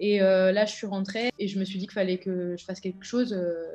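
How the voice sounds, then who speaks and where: A woman's medium-pitched voice, dark and mellow in tone, flat and monotone, at a fairly quick pace over faint background music. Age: 20s. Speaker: elite triathlete. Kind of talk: testimony. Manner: hesitant, many filler words. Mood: reflective, subdued. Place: home room. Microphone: webcam.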